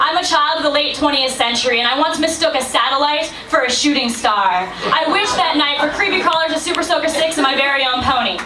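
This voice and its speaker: Heard over noticeable background noise, a woman with an American accent speaks at a high pitch. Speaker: slam poet. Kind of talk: spoken word poetry performance. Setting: live venue.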